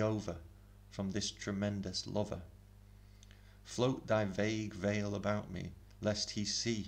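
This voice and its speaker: A man speaks at a very slow pace in a fairly low pitch. His intonation is monotone and flat. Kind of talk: poetry reading.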